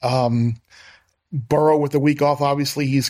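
At a moderate pace, a man with a plain, everyday voice speaks in a medium pitch with fairly even intonation. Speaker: sports betting analyst. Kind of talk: casual sports talk and betting picks.

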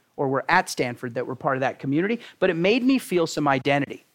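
A man with an American accent talks at a very fast pace and a high pitch, with very wide pitch swings, on a very clean recording with a silent background. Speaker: tech startup CEO. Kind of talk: guest lecture and interview. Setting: university classroom with audience.

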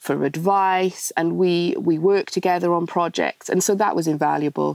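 A woman speaks with a Welsh accent at a moderate pace and ordinary pitch variation. The sound is dry and close, with no echo. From Wales. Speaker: charity founder and interior designer. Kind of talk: casual interview.

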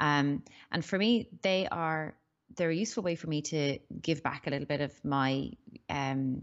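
A woman's very deep, low pitch in an Irish accent, with ordinary pitch variation. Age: 40s. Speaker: business strategist and startup mentor. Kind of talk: interview. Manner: hesitant, many fillers.

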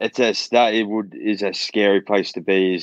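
Speaking with an Australian accent, a man keeps a fairly slow pace. His intonation stays fairly even against a quiet background. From Australia (Perth). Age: 20s. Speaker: mixed martial arts fighter. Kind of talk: casual interview chat.

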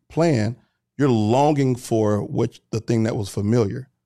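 The voice has a dark, mellow tone and a Southern US accent, moves at a moderate pace, and sounds dry and close with no echo in a very clean recording over a silent background. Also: man. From US South. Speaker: entrepreneur and content creator. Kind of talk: casual chat.

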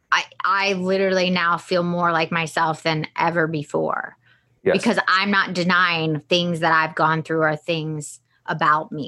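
Speaking in an American accent at a fairly slow pace, a woman with a fairly low pitch uses monotone, flat intonation and a bright, sharp tone. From US South. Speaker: podcast host. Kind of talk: casual chat.

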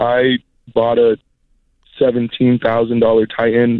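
An unremarkable speaking voice that moves at a moderate pace. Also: man. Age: 20s. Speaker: apprentice tattoo artist. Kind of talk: phone call-in.

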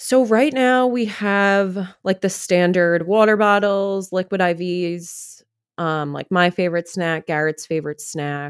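A woman with a plain, everyday voice speaks at a fairly slow pace and medium pitch, with ordinary pitch variation, in a very clean, dry, close recording with no echo and a silent background. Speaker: bride-to-be. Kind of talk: casual chat.

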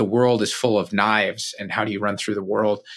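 In a very clean recording with a silent background, a man with an American accent uses a normal speaking voice at a medium pitch, a moderate pace and fairly even intonation. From Ohio. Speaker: entrepreneur and author. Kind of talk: interview.

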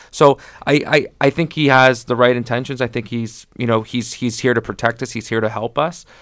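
On a very clean recording with a silent background, a man with a normal speaking voice talks fairly quickly at medium pitch with fairly even intonation. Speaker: real estate agent and radio co-host. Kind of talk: radio show discussion.

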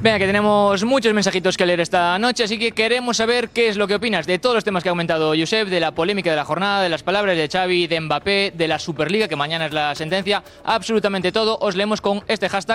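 Talking at a very fast pace with hardly any pauses, a man with a high-pitched voice and ordinary pitch variation comes through over noticeable background noise. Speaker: co-host reading viewer messages. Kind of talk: show hosting, reading social media messages.

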